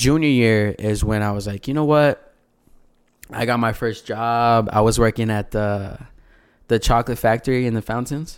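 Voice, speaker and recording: A man with a plain, everyday voice talks at a moderate pace and medium pitch, intonation fairly even, on a very clean recording with a silent background. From El Paso, Texas. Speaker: R&B singer. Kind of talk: casual chat.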